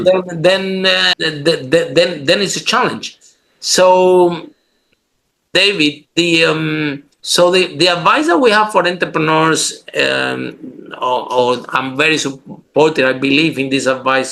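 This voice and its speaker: A man speaks very slowly in a fairly high voice. His tone is bright and sharp. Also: ordinary pitch variation. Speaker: podcast host. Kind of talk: podcast interview talk.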